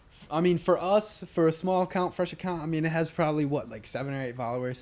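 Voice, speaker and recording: A man at a very fast pace, fairly high-pitched, with ordinary pitch variation. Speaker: podcast co-host. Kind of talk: casual chat. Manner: fast, overlapping.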